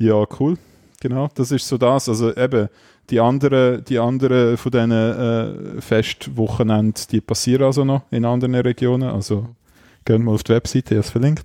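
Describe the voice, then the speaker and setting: At a medium pitch and a moderate pace, a man speaks with a dark, mellow tone, fairly even intonation and very even loudness, in a dry, close sound with no echo and a quiet background. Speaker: podcast co-host. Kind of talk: casual chat.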